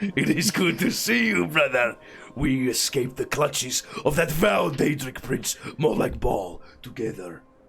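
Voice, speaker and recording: In a put-on character voice, a man speaks at a moderate pace with a fairly high pitch and very wide pitch swings, faint music in the background. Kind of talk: fantasy role-play acting. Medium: machinima. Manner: grandiose, boastful.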